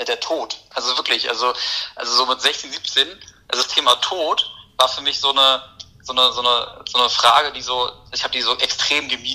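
Talking at a fairly quick pace, a man leaves long, frequent pauses, with noticeable background noise around him. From Berlin, Germany. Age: 20s. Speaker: poet. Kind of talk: casual interview chat.

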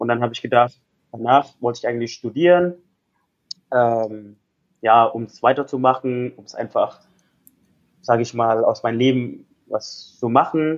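Using an Indonesian accent, a man at medium pitch speaks with fairly even intonation, big swings in loudness and long, frequent pauses. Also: moderate pace. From Indonesia, Jakarta. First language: Indonesian (speaking German). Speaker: life coach. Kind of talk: interview.

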